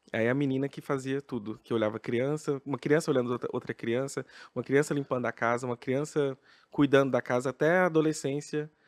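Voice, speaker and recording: In a very clean recording with a silent background and a dry, close sound with no echo, a man with an unremarkable speaking voice talks fairly quickly at medium pitch with fairly even intonation. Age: 30s. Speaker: drag queen, professor. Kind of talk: podcast guest interview answer.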